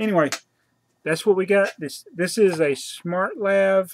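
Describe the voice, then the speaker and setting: The delivery comes at a moderate pace, with a dry sound and no echo. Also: man. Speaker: channel host. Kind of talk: casual vlog chat. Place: home room. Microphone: webcam.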